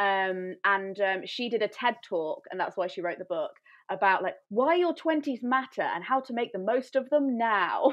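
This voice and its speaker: A woman speaks in an English Midlands accent. Her pitch is fairly high and her intonation is lively. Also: moderate pace. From England, Coventry. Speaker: YouTuber. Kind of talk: casual chat.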